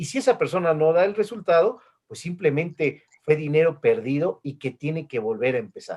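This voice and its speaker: This is a plain, everyday voice with lively intonation. It moves at a moderate pace, with big swings in loudness. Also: man, fairly high pitch for a man. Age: 50s. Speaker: interview host. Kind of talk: video call interview. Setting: video call.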